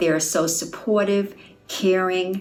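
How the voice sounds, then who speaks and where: Over noticeable background noise and audible room echo, a woman of medium pitch talks at a moderate pace. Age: 70s. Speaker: gym client. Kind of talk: testimony.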